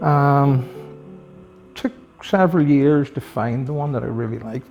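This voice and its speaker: Soft-spoken and fairly high-pitched, a man with a Northern Irish accent talks at a moderate pace with ordinary pitch variation while music plays in the background. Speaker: retired police officer, motorcycle collector. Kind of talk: interview answer.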